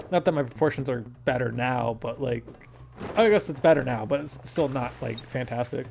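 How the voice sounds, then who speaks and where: Here a man with an ordinary speaking voice talks at a moderate pace. His pitch is medium, with ordinary variation. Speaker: gaming YouTuber. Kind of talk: gameplay commentary. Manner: casual, rambling with fillers.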